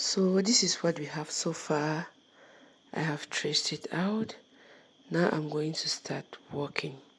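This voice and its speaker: A woman's very deep, low, somewhat breathy voice at a fairly slow pace, broken by long, frequent pauses. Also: ordinary pitch variation. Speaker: crochet tutorial maker. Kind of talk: tutorial voice-over. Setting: recorded voice-over.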